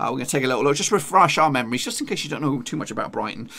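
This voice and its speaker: The man's tone is bright and sharp. His voice carries vocal fry. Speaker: gaming youtuber. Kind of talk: casual gaming commentary.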